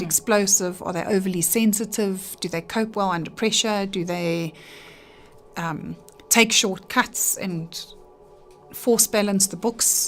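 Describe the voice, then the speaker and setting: With music in the background, a woman speaks fairly slowly at a medium pitch, with fairly even intonation and long, frequent pauses. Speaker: handwriting analyst. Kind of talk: radio interview answer.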